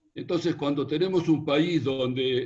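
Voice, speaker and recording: A man's somewhat breathy voice at a very slow pace, with ordinary pitch variation. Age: 70s. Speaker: foreign trade veteran, audience questioner. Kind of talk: audience question.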